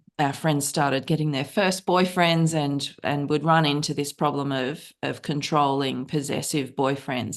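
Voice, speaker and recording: The speaker has an Australian accent and a moderate pace. The background is quiet. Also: woman. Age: 50s. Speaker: novelist. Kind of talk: interview.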